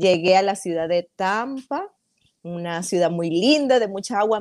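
With a dry, close sound and no echo, the speaker talks at a moderate pace in a Maracaibo Venezuelan accent. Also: woman. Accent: Maracaibo (maracucho) Venezuelan. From Venezuela, Maracaibo (Zulia). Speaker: hair stylist, entrepreneur. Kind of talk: casual interview.

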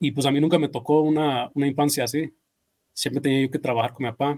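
This man's voice has a dark, mellow tone. His pitch sits fairly high. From California, Mexican family. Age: 30s. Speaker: landscaping business owner. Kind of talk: casual chat.

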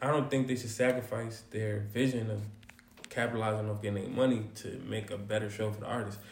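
Amid noticeable background noise, a man speaks at a fairly quick pace with fairly even intonation. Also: fairly low pitch for a man. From New York City. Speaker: singer, rapper and spoken word poet. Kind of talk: casual chat.

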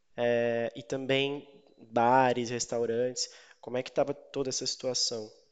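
Slowly, though only fairly so, a man speaks at medium pitch in a monotone, flat intonation. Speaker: news podcast host. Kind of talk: interview.

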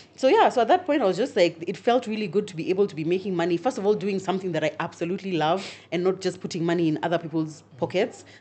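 A woman talks at a very fast pace with hardly any pauses, her medium-pitched voice dark and mellow in tone with ordinary pitch variation. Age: 30s. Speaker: content creator and podcaster. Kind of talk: interview.

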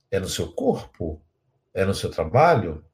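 On a very clean recording with a silent background, a man talks fairly slowly. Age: 60s. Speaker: spiritual teacher. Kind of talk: lecture with guided imagination exercise.

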